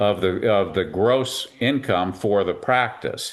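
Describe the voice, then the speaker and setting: In an ordinary speaking voice, a man speaks fairly slowly, his pitch varying in an ordinary way. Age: 60s. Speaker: veterinarian. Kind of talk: interview.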